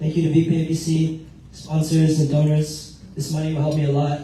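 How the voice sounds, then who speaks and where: Amid audible room echo, a man with a fairly high pitch speaks in a monotone, flat way. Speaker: scholarship recipient. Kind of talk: acceptance speech.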